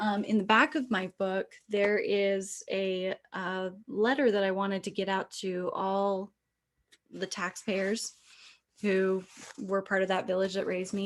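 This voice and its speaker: A woman with an American accent has a plain, everyday voice at a medium pitch. She talks at a fairly slow pace with fairly even intonation. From Utah. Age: 30s. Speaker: author. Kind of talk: keynote speech. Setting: conference stage.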